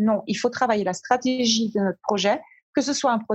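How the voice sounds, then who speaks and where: A woman speaks in a somewhat breathy, fairly high voice. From German and Colombian background, partly raised in New York. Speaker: brand strategist and business coach. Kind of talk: interview.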